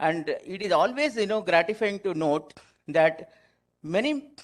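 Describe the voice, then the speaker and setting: Lively intonation runs through this man's speech. The background is quiet. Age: 60s. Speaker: chartered accountant, past branch chairman. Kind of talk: formal address at a seminar. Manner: halting.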